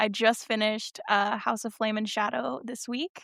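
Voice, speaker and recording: A woman with an American accent and a fairly high voice talks at a moderate pace. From US Pacific Northwest. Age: 20s. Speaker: book blogger. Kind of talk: casual interview chat.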